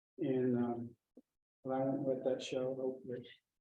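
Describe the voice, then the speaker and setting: A man's fairly high voice with audible room echo. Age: 80s+. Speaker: birding instructor. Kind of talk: lecture. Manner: halting.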